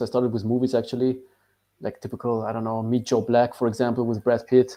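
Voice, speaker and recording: Very fast and monotone, a man talks at a medium pitch with flat intonation. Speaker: dating coach. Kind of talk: live podcast Q&A chat.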